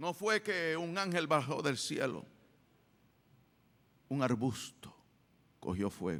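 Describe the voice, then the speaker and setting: A man talks at a very slow pace in a fairly high voice with vocal fry and very wide pitch swings. He leaves long pauses, and they come often. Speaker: church pastor giving a sermon. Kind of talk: sermon.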